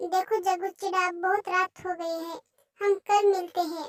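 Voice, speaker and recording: A woman performs a cartoonish character voice at an extremely high pitch, flat and monotone in intonation at a moderate pace. The sound is dry and close with no echo. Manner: self-assured, teasing.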